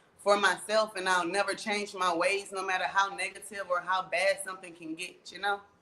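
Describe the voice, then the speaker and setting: A woman speaks at a fairly quick pace in a medium pitch, with noticeable background noise. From US Midwest, St. Louis, Missouri. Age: 20s. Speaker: rapper. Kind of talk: interview.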